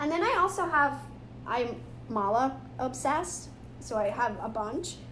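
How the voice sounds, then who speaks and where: Over noticeable background noise and audible room echo, a woman with a high pitch speaks in an animated tone with lively intonation. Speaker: spiritual teacher. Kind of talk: live tutorial. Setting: live video stream.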